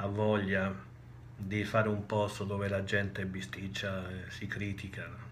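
Audible room echo follows a man's fairly low-pitched voice, his intonation monotone and flat. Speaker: spiritual teacher. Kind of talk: recorded video talk. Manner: hesitant, many filler sounds.

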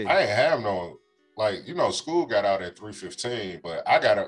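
The speaker is a man at a fairly slow pace. Music plays in the background. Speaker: podcast co-host. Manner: casual, joking.

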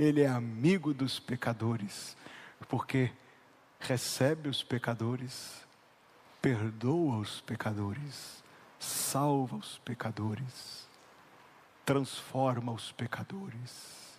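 Speaking very slowly with long, frequent pauses, a man uses a somewhat breathy voice at medium pitch with ordinary pitch variation. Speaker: pastor. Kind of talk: sermon. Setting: church.

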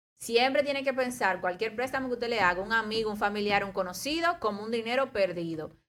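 Very fast and lively in intonation, a woman speaks at a fairly high pitch on a very clean recording with a silent background. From Dominican Republic, La Romana. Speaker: economist. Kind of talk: casual talk show interview. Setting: radio studio.

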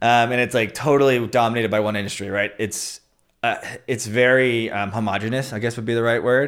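A man with an American accent uses a normal speaking voice at medium pitch, moving at a fairly quick pace with fairly even intonation. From US Northeast (New Jersey). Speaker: beverage marketing manager. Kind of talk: casual chat.

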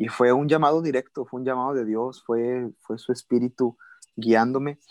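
In a dry, close recording with no echo, a man with a normal speaking voice talks at a medium pitch with fairly even intonation. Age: 20s. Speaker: pastor. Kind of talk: interview.

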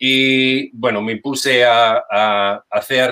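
With a non-native accent, a man talks at a medium pitch with ordinary pitch variation. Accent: foreign accent in Spanish. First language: English (speaking Spanish). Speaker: language teacher. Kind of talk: testimony. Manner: hesitant. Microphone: sound problems.

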